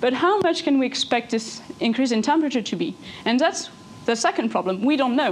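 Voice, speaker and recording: A woman with a high pitch and a French accent, lively intonation, very even loudness and a fairly quick pace, over noticeable background noise. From France. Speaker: engineer giving a talk. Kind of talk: lecture. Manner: fast; halting.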